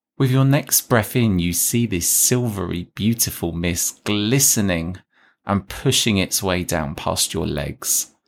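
With an unremarkable speaking voice, a man talks at a fairly low pitch and a fairly slow pace, his intonation lively, in a very clean recording with a silent background. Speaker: podcast host and meditation guide. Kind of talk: guided meditation; casual chat intro. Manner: slow, soothing, calm and gentle; soft-spoken, hushed, measured pacing with pauses.

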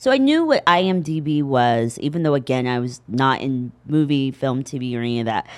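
Speaking at a moderate pace with an American accent, a woman uses a very deep, low pitch with ordinary pitch variation. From Indiana, US Midwest. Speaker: actress. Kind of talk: casual interview chat. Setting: studio. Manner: halting, many fillers.

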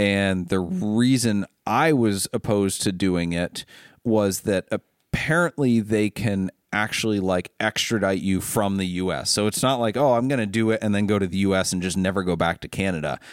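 An unremarkable speaking voice with an American accent moves at a moderate pace with ordinary pitch variation. The sound is dry and close with no echo, a very clean recording with a silent background. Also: man, fairly low pitch for a man. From Ohio, US Midwest. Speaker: car dealer and podcast host. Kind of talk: casual chat. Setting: studio.

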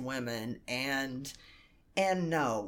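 A woman speaks at a very deep, low pitch with ordinary pitch variation. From rural Kentucky, US. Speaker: sex worker and artist. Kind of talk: casual interview chat. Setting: in person, recording in Atlanta.

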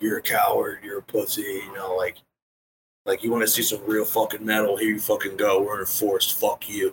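A man shouts in a raspy, put-on character voice at a fairly quick pace. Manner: shouting, aggressive, taunting.

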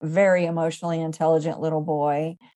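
Speaking in a flat monotone, a woman has a fairly low pitch and a dark, mellow tone. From US South. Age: 50s. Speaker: emotional healing educator and hypnotherapist. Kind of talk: interview.

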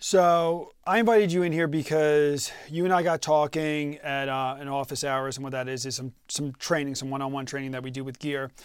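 On a very clean recording with a silent background, a man with an unremarkable speaking voice and fairly high pitch talks at a fairly quick pace, with ordinary pitch variation, hardly any pauses, and big swings in loudness. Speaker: podcast host. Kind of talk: casual interview chat.

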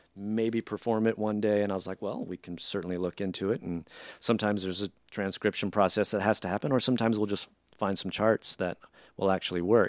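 A man's very fast speech with fairly even intonation, on a very clean recording with a silent background. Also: fairly low pitch for a man, dry, close sound with no echo. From Filipino-American family. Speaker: jazz band leader and musician. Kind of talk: casual interview chat.

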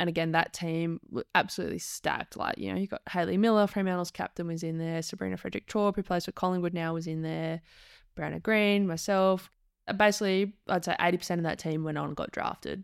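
The voice has an Australian accent and fairly even intonation at a very fast pace. It is recorded dry and close with no echo, very clean, with a silent background. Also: woman, fairly low pitch for a woman. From Perth, Western Australia. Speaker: former professional footballer. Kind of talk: casual interview chat.

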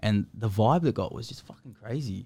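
Speaking at a moderate pace, a man with an Australian accent uses a medium pitch. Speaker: podcast host, music artist. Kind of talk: casual chat. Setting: restaurant studio.

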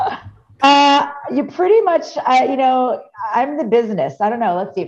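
Music plays in the background as the speaker talks with very wide pitch swings. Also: woman, high pitch for a woman, moderate pace. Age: 40s. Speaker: DJ. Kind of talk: casual chat.

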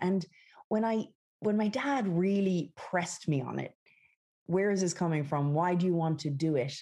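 In an Irish accent, this dark, mellow voice moves with lively intonation over a quiet background. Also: woman. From west of Ireland. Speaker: company founder and CEO. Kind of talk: interview.

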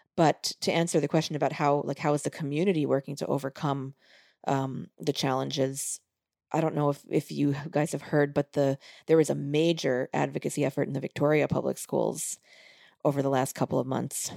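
With an American accent, a woman speaks fairly quickly in a very deep, low pitch and a dark, mellow tone, her intonation monotone and flat and her voice showing vocal fry, on a very clean recording with a silent background. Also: dry, close sound with no echo. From US, Long Island, New York. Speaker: music educator and band director. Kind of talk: interview conversation.

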